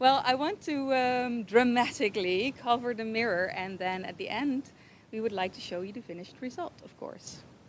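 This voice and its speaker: A woman with a Dutch accent speaks at a moderate pace in a high voice, her intonation lively. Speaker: hair braider and shop owner. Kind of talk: live stream interview.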